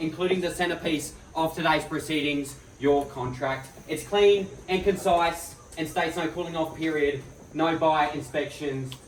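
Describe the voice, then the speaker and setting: Noticeable background noise sits behind the voice. A man talks in a fairly high pitch with fairly even intonation. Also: moderate pace. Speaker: real estate auctioneer. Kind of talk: property auction opening, formal spoken address to bidders. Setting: live on-site auction in front of a crowd.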